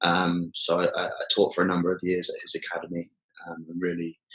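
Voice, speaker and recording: In a British accent, the voice moves along at a fairly quick pace. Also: man. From southern England, Poole/Bournemouth. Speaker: jiu-jitsu coach. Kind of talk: podcast interview. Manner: hesitant, many fillers.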